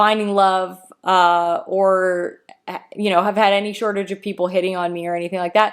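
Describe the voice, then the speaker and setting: In a very clean recording with a silent background, a woman with a Canadian accent and a plain, everyday voice speaks at medium pitch and a moderate pace with fairly even intonation. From Canada. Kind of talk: casual chat.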